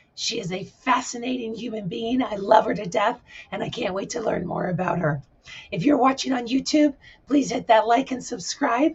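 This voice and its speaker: Moderate pace over noticeable background noise. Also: woman, fairly high pitch for a woman, ordinary pitch variation. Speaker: talk show host. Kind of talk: livestream show introduction.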